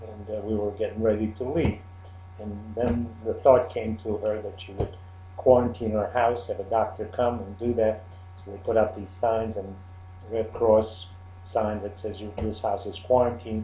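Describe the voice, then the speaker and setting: A man's fairly low voice at a moderate pace, fairly even in intonation, with big swings in loudness and audible room echo. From Czechoslovakia. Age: 70s. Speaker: Holocaust survivor. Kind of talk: interview testimony. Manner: halting.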